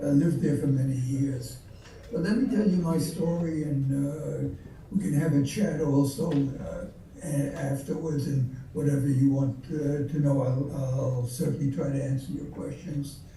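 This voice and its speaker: A man talks at a moderate pace with a fairly high pitch and ordinary pitch variation. Audible room echo and noticeable background noise fill the recording. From Belgium (Antwerp). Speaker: Holocaust survivor speaker. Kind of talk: testimony. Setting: video call. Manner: halting.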